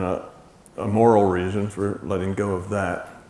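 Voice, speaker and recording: A man with an American accent speaks at a fairly low pitch. His intonation is flat and monotone, with audible room echo. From United States. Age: 70s. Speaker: lecturer. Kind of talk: lecture. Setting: stage with audience. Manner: casual, halting.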